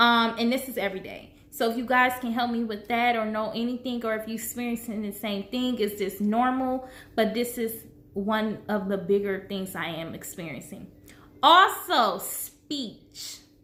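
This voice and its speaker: A woman is speaking with ordinary pitch variation. Room echo can be heard in the recording. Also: fairly high pitch for a woman. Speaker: vlogger sharing health journey. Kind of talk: personal vlog. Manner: slow, halting with pauses for breath; trips over words.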